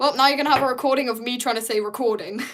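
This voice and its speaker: She speaks with a British accent. The woman uses ordinary pitch variation. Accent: British, sometimes taken for Australian. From Britain. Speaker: artist streamer. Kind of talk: casual live stream chat while painting. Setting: live stream. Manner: animated.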